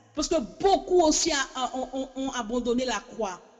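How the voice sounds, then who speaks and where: A woman speaks at a fairly slow pace in a high pitch, with lively intonation. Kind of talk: sermon. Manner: halting, repetitive; impassioned.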